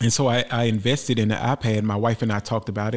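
A man with an American accent talks at a fairly quick pace in a plain, everyday voice of medium pitch. The recording is very clean, with a silent background. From Memphis, Tennessee (US South). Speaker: artist. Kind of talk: interview storytelling. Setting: studio.

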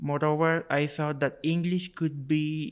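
A man with a Spanish accent speaks in a fairly high pitch. The recording is very clean, with a silent background. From Cuba. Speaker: graduate student. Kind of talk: interview. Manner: halting.

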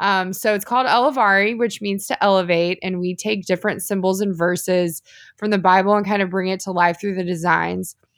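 A woman with an American accent has a plain, everyday voice at a medium pitch and a fairly quick pace. Her intonation is fairly even, in a very clean recording with a silent background. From Texas, Houston area. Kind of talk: casual interview chat.

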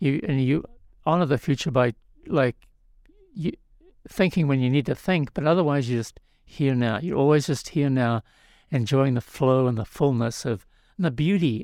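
Speaking at a moderate pace, a man uses a medium pitch and ordinary pitch variation, with long, frequent pauses. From New Zealand. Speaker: spiritual teacher and author. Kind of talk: interview. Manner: halting, with frequent restarts.

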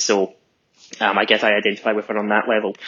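A man with a Scottish accent speaks very fast in a flat monotone. His pitch sits fairly low. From Scotland. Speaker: fan of the show. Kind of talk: recorded monologue.

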